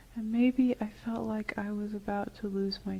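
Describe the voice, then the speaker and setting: A woman speaks at a medium pitch, somewhat breathy, in a dark, mellow tone. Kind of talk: client answering hypnotherapy questions.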